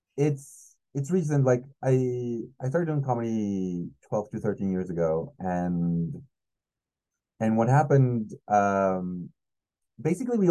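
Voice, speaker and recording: A man speaks in a Spanish accent with a dark, mellow tone. His pitch swings very widely against a quiet background. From Mexico City. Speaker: comedian. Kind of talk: casual chat.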